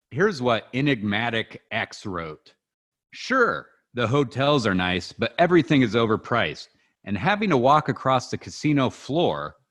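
Vocal fry at a moderate pace over a quiet background. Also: man. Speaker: podcast host. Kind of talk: comedic podcast banter, reading reviews aloud. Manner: sarcastic, joking.

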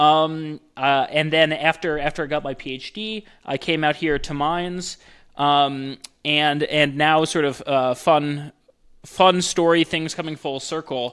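The pace is fairly slow and the intonation fairly even. It is a very clean recording with a silent background. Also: man, fairly high pitch for a man. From upstate New York. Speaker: professor. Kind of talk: interview. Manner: halting, many fillers.

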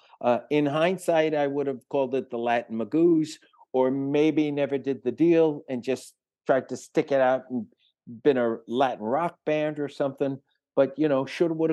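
A speaker with a New York accent talks at a moderate pace, with ordinary pitch variation and a dark, mellow tone. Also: man. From New York City, the Bronx. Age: 70s. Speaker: rock guitarist. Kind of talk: interview. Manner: halting.

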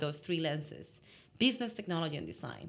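Vocal fry runs through this woman's voice, and her intonation is lively. The recording is very clean, with a silent background. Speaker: innovation consultant. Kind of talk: casual interview conversation.

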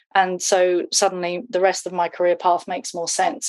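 This is a woman with a medium pitch. She speaks with a southern English accent. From England. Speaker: content design agency founder. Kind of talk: casual interview. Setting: at home, remote call.

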